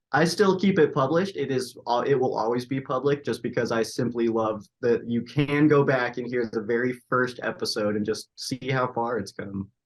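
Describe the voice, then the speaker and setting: Hardly pausing, a man talks at a moderate pace in a medium pitch with ordinary pitch variation. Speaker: sports radio host and podcaster. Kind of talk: interview. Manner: loud, outspoken.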